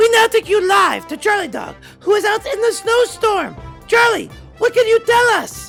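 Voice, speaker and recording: An extremely high-pitched cartoonish character voice over clear background music. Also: moderate pace. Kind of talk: mock TV news anchor. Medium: puppet.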